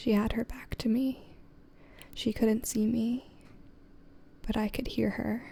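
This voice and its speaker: Soft-spoken delivery at a fairly slow pace, with long, frequent pauses. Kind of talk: ASMR soft-spoken story reading.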